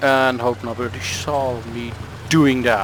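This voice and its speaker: A medium-pitched male voice amid noticeable background noise. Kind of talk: gameplay commentary. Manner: rambling, hesitant.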